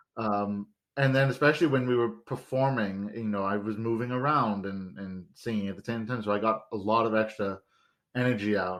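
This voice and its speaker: The speaker moves at a moderate pace with ordinary pitch variation. The background is quiet. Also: man. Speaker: podcast host. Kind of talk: casual chat.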